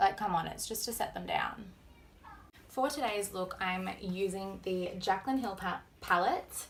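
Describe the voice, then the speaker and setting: An Australian accent from a woman at a medium pitch, fairly slow, with ordinary pitch variation. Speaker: beauty vlogger. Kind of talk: makeup tutorial.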